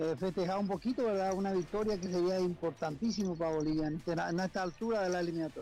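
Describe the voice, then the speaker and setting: Speaking very fast with hardly any pauses, a man uses a high pitch, ordinary pitch variation and very even loudness. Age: 60s. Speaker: football commentator. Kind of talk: radio phone interview. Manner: halting.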